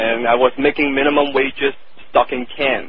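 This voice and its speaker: A man with a Cantonese accent speaks at medium pitch with fairly even intonation. Noticeable background noise runs underneath. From Hong Kong. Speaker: copywriter. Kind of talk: interview.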